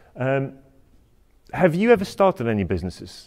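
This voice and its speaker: A man with a Polish accent talks at a fairly quick pace in a passionate tone. The recording is very clean, with a silent background. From Poland. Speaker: bespoke tailor and entrepreneur. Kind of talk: university talk. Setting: lecture hall with student audience. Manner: hesitant, many fillers.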